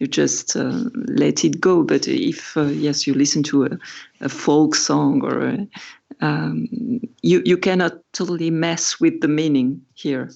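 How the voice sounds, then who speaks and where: A woman speaks with a French accent. Her pace is fairly slow. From France. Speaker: musician and writer on pop music. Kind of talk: casual chat. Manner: halting.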